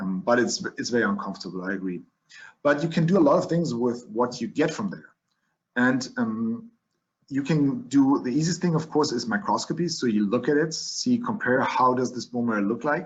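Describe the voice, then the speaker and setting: A man speaks with a German accent at a fairly high pitch. His pitch swings very widely at a moderate pace. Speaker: physician lecturing on leukemia. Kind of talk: lecture. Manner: halting, with many fillers and restarts.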